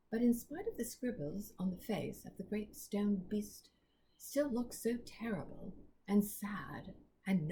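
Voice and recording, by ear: A passage read aloud in a natural voice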